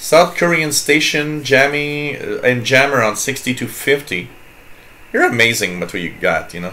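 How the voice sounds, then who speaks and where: A man's fairly high, lively voice at a fairly slow pace, with a slight French Canadian accent and audible room echo. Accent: slight French-Canadian accent on some words. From Quebec. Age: 40s. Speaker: radio hobbyist livestream host. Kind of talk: casual chat. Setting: live stream with chat room. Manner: halting.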